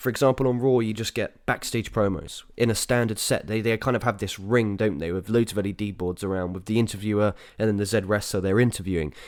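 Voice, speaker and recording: Speaking at a very fast pace with hardly any pauses, a man keeps his intonation fairly even. His voice is fairly low. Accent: English. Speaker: wrestling podcast host. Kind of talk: casual review podcast. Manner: casual, filler-heavy.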